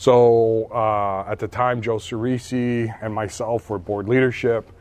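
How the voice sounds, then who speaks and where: In an American accent, a man speaks at medium pitch with a monotone, flat intonation. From Pennsylvania (Hazleton). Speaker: school board member. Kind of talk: interview. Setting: school fitness center.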